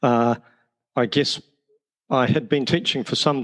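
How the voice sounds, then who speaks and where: The speaker has a New Zealand accent. The delivery is fairly slow. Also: man. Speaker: teacher and education author. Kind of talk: podcast interview.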